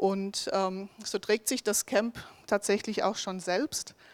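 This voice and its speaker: A woman's medium-pitched, monotone, flat voice, with a dry, close sound with no echo and a very clean recording with a silent background. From southern Hesse, Germany (Bensheim area). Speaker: ministry worker presenting a mission project. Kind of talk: project presentation.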